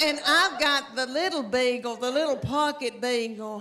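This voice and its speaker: Noticeable background noise surrounds a woman speaking in a raised, projected voice at a very slow pace. Her pitch is high, with ordinary pitch variation. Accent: Southern US. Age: 50s. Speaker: stand-up comedian. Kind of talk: stand-up comedy set.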